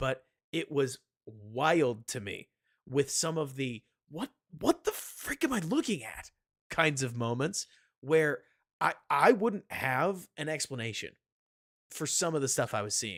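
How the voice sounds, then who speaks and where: Speaking at a fairly slow pace with long, frequent pauses, a man uses a fairly high pitch and lively intonation in a dry, close sound with no echo. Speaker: football analyst streamer. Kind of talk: live stream film analysis chat. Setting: live stream.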